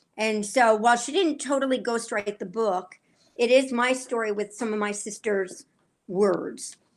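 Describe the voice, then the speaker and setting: A plain, everyday voice from a woman, fairly high in pitch with ordinary pitch variation at a moderate pace, on a very clean recording with a silent background. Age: 60s. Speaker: author. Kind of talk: interview.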